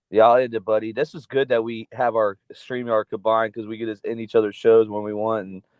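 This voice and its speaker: With an American accent and a medium-pitched voice, a man talks at a fairly quick pace in a monotone, flat intonation, his loudness swinging widely and hardly any pauses between words. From South Florida. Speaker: podcast co-host. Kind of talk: casual chat. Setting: livestream.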